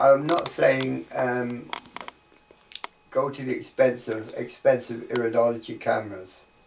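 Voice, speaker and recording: Fairly slow speech with long, frequent pauses and noticeable background noise. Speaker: iridology teacher. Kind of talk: tutorial.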